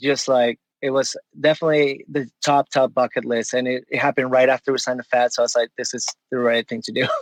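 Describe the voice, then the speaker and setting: With a Spanish accent, the speaker keeps a moderate pace in a dry, close sound with no echo. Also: man. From Venezuela. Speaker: punk musician. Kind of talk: casual chat.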